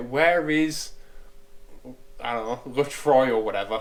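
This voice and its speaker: A man in a northern English accent. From northern England. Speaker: car restoration youtuber. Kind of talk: workshop tutorial with casual chat. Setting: workshop.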